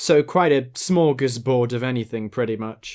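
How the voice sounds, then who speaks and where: A man speaks with a British accent and lively intonation. The recording is very clean, with a silent background. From Britain. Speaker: commentary youtuber. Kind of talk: video essay narration.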